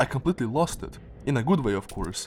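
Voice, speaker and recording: Lively intonation from a man of medium pitch, moderate pace, music in the background. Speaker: gaming video creator. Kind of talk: casual game weapon review narration.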